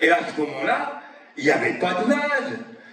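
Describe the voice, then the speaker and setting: A man's raised, projected voice, high in pitch with very wide pitch swings, at a moderate pace amid audible room echo and noticeable background noise. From Brittany, Saint-Brieuc bay. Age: 70s. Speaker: environmental association activist. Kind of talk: public talk.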